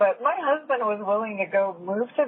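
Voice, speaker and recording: Lively intonation at a fairly slow pace, with music in the background. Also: woman. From Puerto Rico. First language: Spanish. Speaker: podcast host and student pilot. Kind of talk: casual interview conversation.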